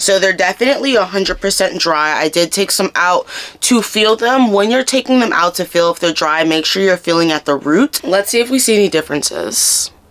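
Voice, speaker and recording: Over noticeable background noise, a woman with a medium pitch speaks in an animated tone. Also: moderate pace, very even loudness. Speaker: hair care YouTuber. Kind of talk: product review tutorial vlog. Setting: at home, filming herself. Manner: casual, chatty.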